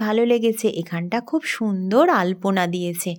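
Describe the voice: A woman speaks at a medium pitch with ordinary pitch variation. Her tone is slightly mellow.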